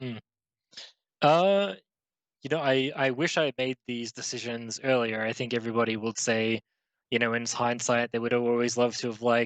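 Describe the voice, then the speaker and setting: With an Australian accent, this voice shows ordinary pitch variation and long, frequent pauses against a quiet background. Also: man, medium pitch for a man, moderate pace, dry, close sound with no echo. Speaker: esports pro player. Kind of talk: interview. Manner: casual, halting with fillers.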